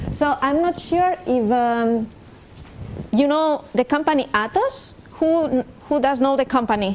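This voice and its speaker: A woman speaks at a fairly slow pace, her pitch high, with long and frequent pauses. Her loudness stays very even. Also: ordinary pitch variation. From Spain. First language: Spanish. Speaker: industry program manager, invited speaker. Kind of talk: lecture. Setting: summer school lecture hall with audience.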